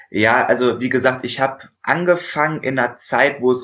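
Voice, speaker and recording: Against a silent background in a very clean recording, a man speaks fairly slowly at a fairly high pitch with ordinary pitch variation. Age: 20s. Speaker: bicycle mechanic apprentice and salesman. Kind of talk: casual interview. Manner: hesitant, many filler sounds.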